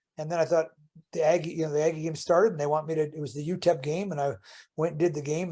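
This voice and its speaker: A man with an American accent, fairly high pitch, dark, mellow tone and fairly even intonation. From Chicago, US Midwest. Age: 60s. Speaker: author and basketball analyst. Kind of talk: casual interview chat. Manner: halting, many repetitions and restarts.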